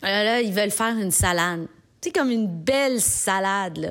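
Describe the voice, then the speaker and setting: A woman with a Quebec accent, animated in tone and lively in intonation, at a moderate pace, on a very clean recording with a silent background. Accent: Québécois French. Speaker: podcast columnist. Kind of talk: comedic monologue.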